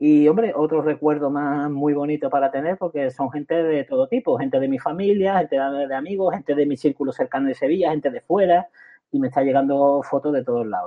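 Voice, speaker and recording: A man talks in an unremarkable speaking voice. His pitch is fairly high. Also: ordinary pitch variation, fairly quick pace. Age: 50s. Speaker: author and retired teacher with cancer. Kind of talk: interview.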